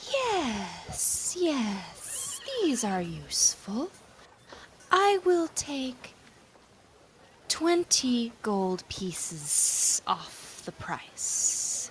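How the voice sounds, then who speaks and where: In a put-on character voice, a female-sounding speaker talks at a high pitch for a woman and a very slow pace, with long, frequent pauses. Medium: actual play. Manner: polite, courteous.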